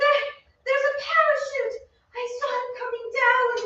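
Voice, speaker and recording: A woman's squeaky, put-on character voice at an extremely high pitch, moderate pace, and a slight echo. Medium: stage play.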